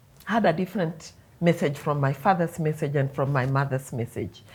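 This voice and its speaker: A woman's somewhat breathy voice moves at a moderate tempo, its pitch shifting in an ordinary way. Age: 50s. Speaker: mother. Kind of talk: casual chat.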